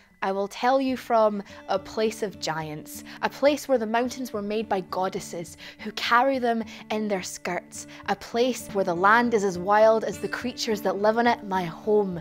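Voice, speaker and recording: At a moderate pace, a woman speaks with ordinary pitch variation over faint music in the background. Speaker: poet performer. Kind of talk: spoken-word poetry performance. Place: stage.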